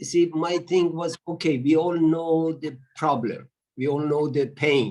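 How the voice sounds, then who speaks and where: Speaking at a moderate pace, a man uses a fairly high voice with fairly even intonation. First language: Persian. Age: 70s. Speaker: audience participant. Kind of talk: panel discussion comment. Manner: halting.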